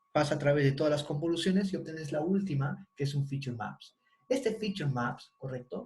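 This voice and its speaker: Somewhat breathy, a man talks fairly quickly at a fairly high pitch. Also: ordinary pitch variation. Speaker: university lecturer. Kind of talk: online lecture.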